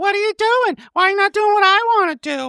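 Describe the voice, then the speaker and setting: This is a put-on character voice with an extremely high pitch. The pace is fairly quick. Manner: nagging, demanding.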